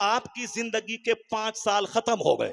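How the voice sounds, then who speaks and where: A man's high-pitched voice in a dry, close sound with no echo. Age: 50s. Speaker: Islamic cleric. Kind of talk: sermon.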